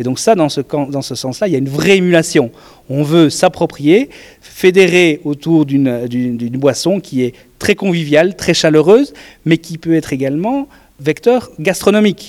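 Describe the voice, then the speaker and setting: A man with a plain, everyday voice speaks at a fairly slow pace. His pitch is fairly high, with lively intonation. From Belgium. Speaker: beer competition organizer. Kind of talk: interview.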